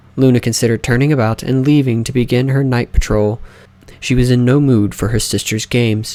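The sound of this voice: The reading voice here is unforced.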